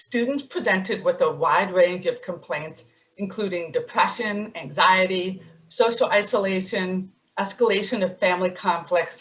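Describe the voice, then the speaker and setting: A woman's somewhat breathy voice, medium in pitch, with ordinary pitch variation and a moderate pace. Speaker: psychiatrist and webinar moderator. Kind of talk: webinar moderation. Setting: webinar.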